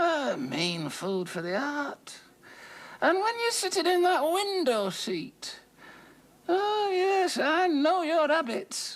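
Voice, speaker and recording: Put-on character voice from a woman, extremely high in pitch, with very wide pitch swings and a very slow pace. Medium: audio drama. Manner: insinuating, knowing.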